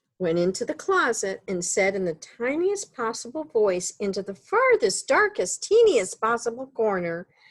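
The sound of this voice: Text read in an unforced reading voice.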